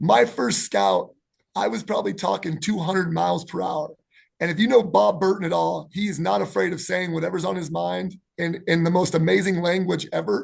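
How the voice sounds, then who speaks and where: Here a man with an American accent speaks at a fairly quick pace with a high pitch. His intonation is lively and his tone animated. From Lake Tahoe area, US West. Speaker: basketball coach. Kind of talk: casual chat. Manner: fast.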